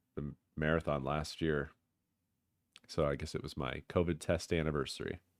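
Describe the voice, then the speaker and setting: Very deep and low, a man's voice carries vocal fry and a monotone, flat intonation. He leaves long, frequent pauses. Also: moderate pace, dry, close sound with no echo. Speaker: gaming livestreamer. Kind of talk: casual livestream chat.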